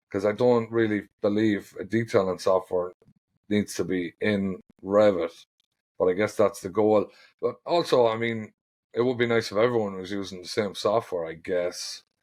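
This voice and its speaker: In an Irish accent, a man speaks at a moderate pace with a fairly low pitch. The recording is very clean, the background silent. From Ireland. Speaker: ironworker foreman and steel detailer. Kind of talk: podcast interview. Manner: casual, hesitant with fillers.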